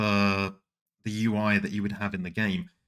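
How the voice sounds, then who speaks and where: Speech comes at a moderate pace. It is delivered with a British accent. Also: man. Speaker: anime streamer and video essayist. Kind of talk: scripted video essay.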